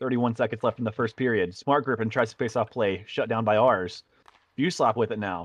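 With an ordinary speaking voice, a man talks at a moderate pace with medium pitch and ordinary pitch variation, his sound dry and close with no echo over a quiet background. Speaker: sports commentator. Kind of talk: live play-by-play commentary.

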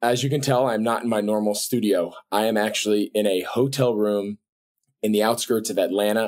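A man talks at a moderate speed, with a quiet background behind him. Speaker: podcast host. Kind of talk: podcast intro monologue. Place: home room. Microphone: webcam.

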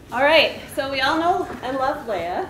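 Over noticeable background noise, a woman is speaking. She keeps a moderate pace. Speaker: grad student friend. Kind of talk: humorous introduction. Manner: animated, laughing. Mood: light, playful. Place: hall. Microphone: camera far.

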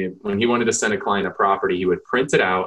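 Against a quiet background, a man with an American accent talks at a very fast pace. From San Diego, California; California. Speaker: real estate team leader; podcast guest. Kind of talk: podcast interview. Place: office.

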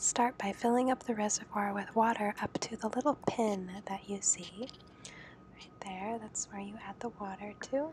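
A soft-spoken woman with a medium pitch talks at a moderate pace in a relaxed tone, her intonation fairly even, her loudness swinging widely, and background noise noticeable. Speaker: home coffee maker showing her routine. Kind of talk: ASMR soft-spoken tutorial. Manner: soft-spoken, relaxed.

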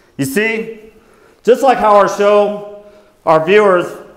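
A man at a very slow pace, with audible room echo and a quiet background. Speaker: skit performer as TV show host. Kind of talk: staged skit confession. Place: church. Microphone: lapel.

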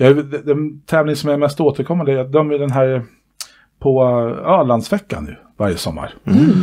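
A man's dark, mellow voice over a quiet background. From Sweden. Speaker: dance club board member and dance instructor; dance instructor. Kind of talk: casual interview chat. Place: home room. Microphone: headset.

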